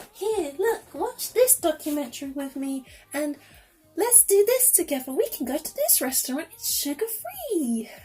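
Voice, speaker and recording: A put-on character voice at a high pitch speaks at a moderate pace. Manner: condescending.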